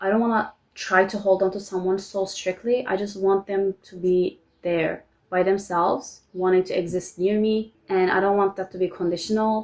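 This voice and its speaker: With a Turkish accent, a woman talks at medium pitch in a flat, monotone way. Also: moderate pace. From Turkey. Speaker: vlogger. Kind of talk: personal vlog confession. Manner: halting.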